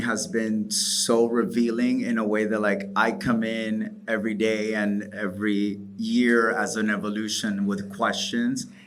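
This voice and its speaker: Audible room echo and noticeable background noise surround a monotone, flat intonation. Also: man. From Dominican Republic. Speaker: DJ and event promoter. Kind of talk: panel talk.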